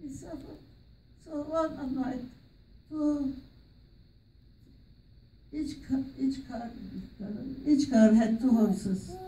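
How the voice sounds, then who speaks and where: A woman with a high-pitched voice and an Armenian accent speaks very slowly, with ordinary pitch variation and long, frequent pauses. Room echo is audible. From Armenian from Aintab, Turkey. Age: 80s+. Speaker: genocide survivor. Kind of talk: interview answer. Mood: sombre, emotional recollection.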